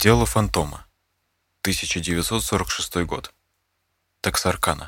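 On a very clean recording with a silent background, a man speaks very slowly in a very deep, low pitch with vocal fry, a serious, dramatic tone, very wide pitch swings, and long, frequent pauses. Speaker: true-crime narrator. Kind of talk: true-crime scripted narration of a case. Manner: measured, suspenseful, storytelling tone; serious, even, dramatic pacing.

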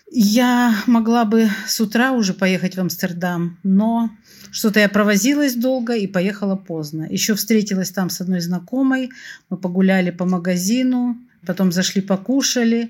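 A somewhat breathy woman at a moderate pace with ordinary pitch variation, on a very clean recording with a silent background. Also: medium pitch for a woman. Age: 60s. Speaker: opera fan telling a personal story. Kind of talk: personal storytelling.

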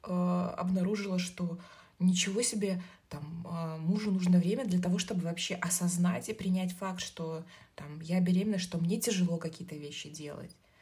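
A woman's dark, mellow tone comes across somewhat breathy, with fairly even intonation. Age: 30s. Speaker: marketer, new mother. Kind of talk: casual chat.

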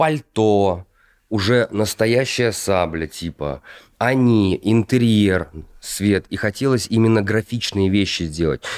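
Pitch sits fairly low and varies in an ordinary way as a man speaks at a very slow pace. The sound is dry and close with no echo, on a very clean recording with a silent background. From Russia, Kostroma. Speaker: actor. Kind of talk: casual chat.

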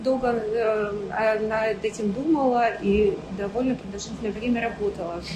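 A woman speaks at a fairly slow pace in a fairly high pitch with ordinary pitch variation, over noticeable background noise and audible room echo. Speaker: entrepreneur, factory owner. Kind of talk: interview.

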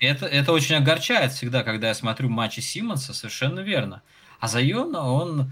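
Amid noticeable background noise, a man talks at a fairly quick pace with a medium pitch and lively intonation. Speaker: basketball podcast host. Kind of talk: casual chat. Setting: live stream. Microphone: crackling, distorted microphone.

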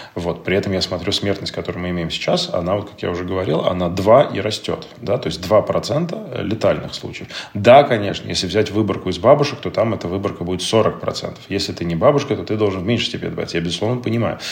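Noticeable background noise runs behind a man talking at a very fast pace. His voice is fairly low, with ordinary pitch variation. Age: 30s. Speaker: digital entrepreneur and father. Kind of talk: casual chat.

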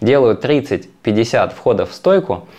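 Here a man speaks at a very slow pace with ordinary pitch variation. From Russian Far East, Magadan. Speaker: yoga teacher. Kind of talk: podcast interview.

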